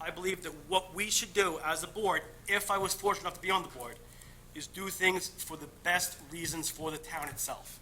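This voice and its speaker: Over noticeable background noise, a man with a high pitch talks at a fairly quick pace, his intonation fairly even but his loudness swinging widely. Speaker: candidate for town board seat. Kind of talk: interview opening statement. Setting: public meeting. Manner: fast; halting.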